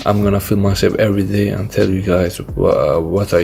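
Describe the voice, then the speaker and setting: A man with a non-native accent at a moderate pace. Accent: non-native English, self-described. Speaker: e-commerce YouTuber. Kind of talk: casual vlog talk to camera. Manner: halting with fillers.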